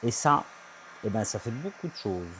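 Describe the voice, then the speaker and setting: Somewhat breathy, a man speaks with very wide pitch swings. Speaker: van conversion vlogger. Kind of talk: DIY vlog tutorial. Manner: soft-spoken; casual.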